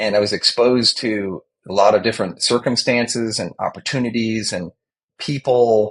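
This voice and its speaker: Speaking at a moderate pace with an American accent, a man has an ordinary speaking voice at a medium pitch and fairly even intonation. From US Northeast, Long Island, New York. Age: 60s. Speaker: corporate communications professional and whistling champion. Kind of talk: interview.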